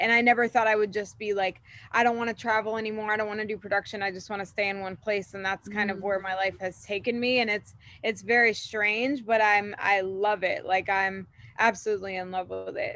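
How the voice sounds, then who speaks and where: A woman with an American accent talks at a fairly quick pace in a bright, sharp tone. Her intonation is monotone and flat. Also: medium pitch for a woman. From Florida. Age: 30s. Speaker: salon owner. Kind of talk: casual interview chat.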